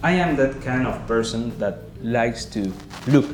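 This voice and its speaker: The speaker uses lively intonation at a fairly slow pace, with an Argentinian accent. Music plays in the background. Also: man. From Argentina. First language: Spanish. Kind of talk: casual talk to camera.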